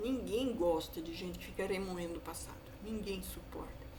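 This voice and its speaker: There is noticeable background noise along with audible room echo. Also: woman. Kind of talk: sermon-style monologue. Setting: online video. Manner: fast.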